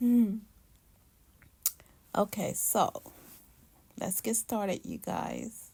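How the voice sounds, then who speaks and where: A woman speaks very slowly in a fairly high, somewhat breathy voice with a dark, mellow tone, flat monotone intonation, and long, frequent pauses. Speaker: cooking channel host. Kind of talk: tutorial.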